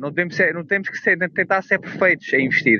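A man speaks. His pitch sits high for a man. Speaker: trader and author. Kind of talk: casual interview. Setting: outdoors walking dog on beach.

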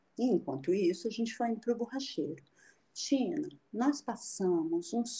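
A woman's fairly high, somewhat breathy voice, dark and mellow, with very wide pitch swings at a fairly slow pace. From Rio de Janeiro, then Brasília from 13. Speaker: photographer and traveler. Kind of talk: casual interview. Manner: animated.

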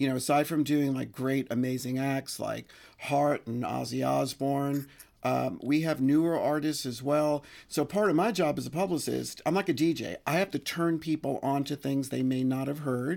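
A man with a plain, everyday voice speaks at a moderate pace and a fairly high pitch with ordinary pitch variation, recorded very cleanly against a silent background. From New York, the Bronx. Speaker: music publicist. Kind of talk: casual chat. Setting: at the host's home.

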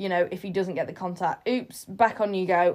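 A woman with a plain, everyday voice speaks at a moderate pace and medium pitch with ordinary pitch variation, in a very clean recording with a silent background. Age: 20s. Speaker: podcast host and agility handler. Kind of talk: solo podcast monologue. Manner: chatty, informal.

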